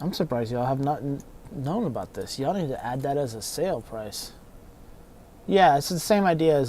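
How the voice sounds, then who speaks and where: This man's voice is fairly high in pitch, with a dark, mellow tone. He keeps a moderate pace and ordinary pitch variation. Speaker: console repair technician streamer. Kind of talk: casual livestream chat. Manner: mumbling.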